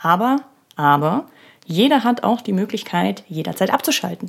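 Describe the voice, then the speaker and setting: With lively intonation and a moderate pace, a woman talks in an ordinary speaking voice at a medium pitch. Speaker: podcast host. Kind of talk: solo podcast monologue. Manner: casual, with many filler sounds; laughs while speaking.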